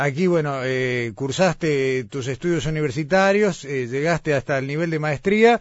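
In a normal speaking voice, a man with a fairly high pitch talks at a moderate pace with lively intonation. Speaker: radio host. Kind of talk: radio interview. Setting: remote broadcast from Florida.

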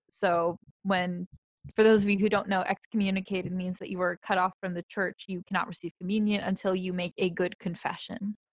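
The voice is somewhat breathy and monotone, with flat intonation at a fairly quick pace. The sound is dry and close, with no echo. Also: woman, medium pitch for a woman. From Polish heritage. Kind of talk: casual religious discussion.

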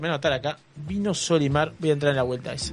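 An animated man talks at a very fast pace while music plays in the background. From Uruguay, Canelones coast. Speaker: radio host. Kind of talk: live radio talk show. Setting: radio studio.

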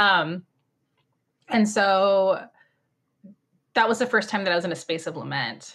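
Speaking slowly at a medium pitch, a woman shows ordinary pitch variation and takes long, frequent pauses. The recording is very clean with a silent background. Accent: Californian. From Orange County, California. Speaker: writer and mom discussing faith. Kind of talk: podcast interview.

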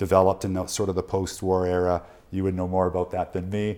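This man has a very deep, low pitch and a dark, mellow tone, speaking with a western Canadian accent. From Canada, Prince George, British Columbia. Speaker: journalist. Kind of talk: casual chat.

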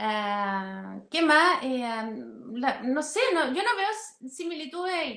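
Very slowly, a woman speaks in a high pitch with very wide pitch swings and a bright, sharp tone. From outside Chile. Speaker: political analyst. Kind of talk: interview.

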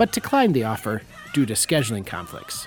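Speech at a very fast pace comes with noticeable background noise. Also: man. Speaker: film podcast host. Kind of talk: scripted narration of film history, read out like a review essay.

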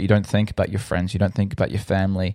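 Pitched fairly low, a man talks with an Australian accent. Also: dry, close sound with no echo. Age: 20s. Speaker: podcast host. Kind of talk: personal storytelling monologue. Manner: hesitant, many fillers.

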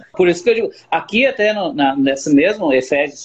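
With lively intonation, a man speaks at a high pitch and a moderate pace. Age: 40s. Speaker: barber and church member. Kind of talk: religious chat. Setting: online live stream.

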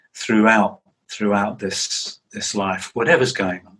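A man speaks with an English accent. His pitch sits fairly low, with ordinary variation. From England. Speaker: psychotherapist and author. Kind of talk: interview.

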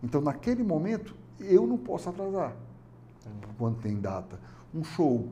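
Pitched fairly high, a man swings very widely in pitch and greatly in loudness, moving at a moderate pace with long, frequent pauses. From Fortaleza, Ceará, Brazil. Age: 50s. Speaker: business owner. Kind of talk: interview. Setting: studio.

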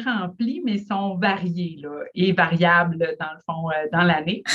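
At a very slow pace, a woman talks with fairly low pitch and ordinary pitch variation. Her loudness swings widely. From Quebec, Lac-Saint-Jean. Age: 30s. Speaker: family physician. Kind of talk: interview.

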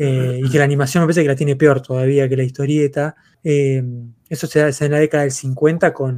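With monotone, flat intonation, a man speaks at a fairly high pitch. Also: fairly quick pace. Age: 30s. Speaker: comics podcast host. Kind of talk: casual chat. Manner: halting, many fillers and repetitions.

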